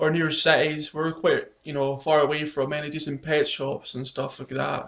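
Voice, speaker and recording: A man with a Scottish accent speaks in a fairly high pitch. His intonation is monotone and flat, at a moderate pace. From Scotland. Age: 30s. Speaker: pet YouTuber. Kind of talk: casual chat.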